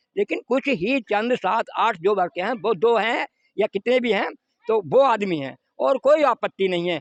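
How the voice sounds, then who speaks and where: In a dry, close sound with no echo, a man speaks at a high pitch with very wide pitch swings. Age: 60s. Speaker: temple priest. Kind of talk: interview statement. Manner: halting.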